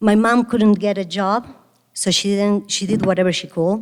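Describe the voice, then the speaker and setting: A woman's medium-pitched voice with an Argentine accent at a fairly slow pace. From Argentina, Buenos Aires. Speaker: restaurant founder and CEO. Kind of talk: keynote speech. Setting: stage with audience.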